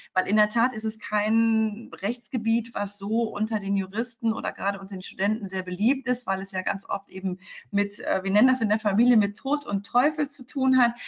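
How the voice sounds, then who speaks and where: A somewhat breathy woman's voice, fairly high in pitch, with ordinary pitch variation, a moderate pace and hardly any pauses. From Cologne, Rhineland, Germany. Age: 40s. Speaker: lawyer. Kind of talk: interview.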